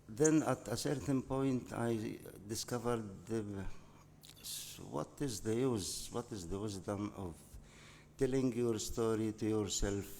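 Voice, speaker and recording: Taking long, frequent pauses at a fairly slow pace, a man with an Arabic accent speaks at a medium pitch in a dark, mellow tone with ordinary pitch variation. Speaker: novelist. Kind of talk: interview. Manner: halting.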